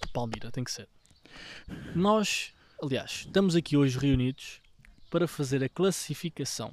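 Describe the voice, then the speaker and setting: In a European Portuguese accent, a man speaks at a moderate pace with a fairly high pitch and ordinary pitch variation, leaving long, frequent pauses. The recording is very clean, with a silent background. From Portugal, Gouveia area (Beira). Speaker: podcast co-host. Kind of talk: casual chat.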